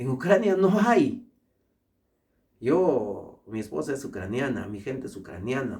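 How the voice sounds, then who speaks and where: A somewhat breathy man of medium pitch speaks in an animated tone at a fairly slow pace, with very wide pitch swings, big swings in loudness and long, frequent pauses. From Peru. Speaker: international law specialist and lecturer. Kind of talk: opinion monologue.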